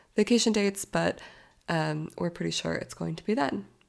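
A woman with a General American accent is heard on a very clean recording with a silent background. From Arizona, US. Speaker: podcast host. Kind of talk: casual solo podcast monologue.

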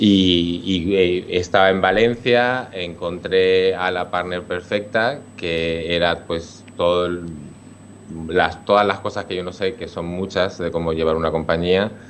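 Very slowly, a man speaks in a very deep, low voice with fairly even intonation. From Spain, Alicante province (San Fulgencio). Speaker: dance company director. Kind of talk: radio interview. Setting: remote connection. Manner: halting, with repetitions.

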